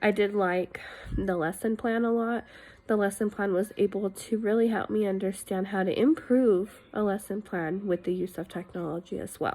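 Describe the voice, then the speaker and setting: At a moderate pace, a woman talks at medium pitch with fairly even intonation and a dark, mellow tone. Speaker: education student. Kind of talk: reflection video monologue. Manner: casual, with fillers.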